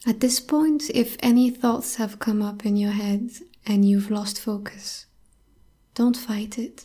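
Very slowly, a woman with a fairly high pitch speaks in a calm, soothing tone that is somewhat breathy, with fairly even intonation. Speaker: podcast host and meditation guide. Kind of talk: guided meditation. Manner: slow, calm, soothing, soft-spoken, with long pauses.

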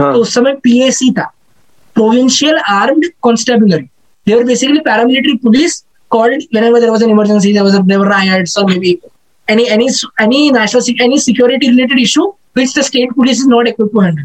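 A man's extremely high-pitched voice, very fast yet broken by long, frequent pauses, with very even loudness. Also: ordinary pitch variation. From India, Mumbai. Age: 20s. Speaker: aspiring film critic and marketing analyst. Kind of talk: casual interview, code-switching English and Hindi.

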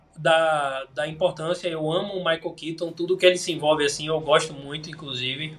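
A man with a normal speaking voice talks at a moderate pace and fairly high pitch. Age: 20s. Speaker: film recommendation influencer. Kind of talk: casual chat.

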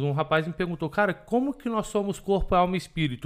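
In a very clean recording with a silent background, a high-pitched man speaks fairly quickly with lively intonation. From Belo Horizonte, Minas Gerais, Brazil. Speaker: pastor. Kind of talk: casual chat.

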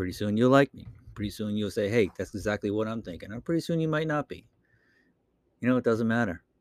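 A man talks very fast with a Boston accent, at a medium pitch with ordinary pitch variation. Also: dry, close sound with no echo. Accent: Boston accent, drops R's. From Boston, Massachusetts. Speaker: podcaster. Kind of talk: casual solo monologue podcast. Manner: casual, rambling, with filler words.

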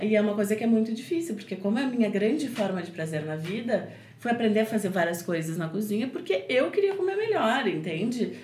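A woman speaks very fast with hardly any pauses, her fairly high voice full of lively intonation. Noticeable background noise and audible room echo fill the recording. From southern Brazil, Porto Alegre area. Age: 30s. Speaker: cook and recipe youtuber. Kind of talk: casual chat.

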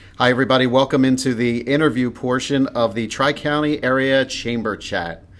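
A man's plain, everyday voice at medium pitch, fairly quick and with hardly any pauses, the intonation fairly even. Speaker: business podcast host. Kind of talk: casual interview chat. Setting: recorded in an office.

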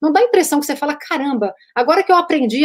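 The speaker is female. The background is silent on this very clean recording. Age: 40s. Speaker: podcast host. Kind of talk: casual interview chat.

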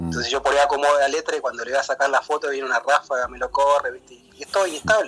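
The man talks at a very fast pace. Noticeable background noise runs underneath. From Buenos Aires suburbs, Quilmes. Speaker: poet and baker. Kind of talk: interview. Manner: halting, many fillers.

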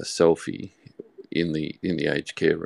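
A man with an Australian accent speaks in a very deep, low pitch with vocal fry. His fairly slow delivery sounds dry and close, with no echo. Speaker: audience participant. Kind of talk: live audio chat.

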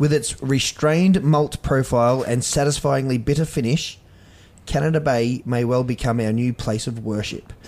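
This man speaks at a medium pitch in an Australian accent. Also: ordinary pitch variation, moderate pace. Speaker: podcast co-host. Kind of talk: casual chat. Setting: home bar.

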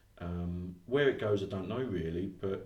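Speaking in an English accent, a man has a very deep, low pitch and a somewhat breathy quality. His pace is fairly slow, and audible room echo is present. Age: 50s. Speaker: education consultant and trainer. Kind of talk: interview.

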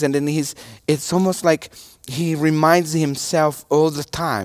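The speaker has a Portuguese accent. The pace is fairly slow. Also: man, dry, close sound with no echo. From Brazil. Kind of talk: sermon. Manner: halting.

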